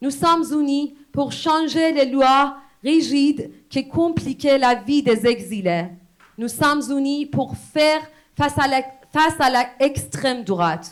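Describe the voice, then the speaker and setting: In a Persian accent, the speaker talks at a very slow pace with ordinary pitch variation. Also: woman, high pitch for a woman. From Iran. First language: Persian (speaking French). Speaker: poet and exile activist. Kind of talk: public speech.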